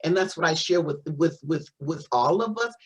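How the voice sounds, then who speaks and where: Somewhat breathy speech with very wide pitch swings. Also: woman. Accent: American. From Missouri, US Midwest. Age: 60s. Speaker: spiritual teacher, doctor of metaphysics. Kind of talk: interview testimony. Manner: halting, many repetitions.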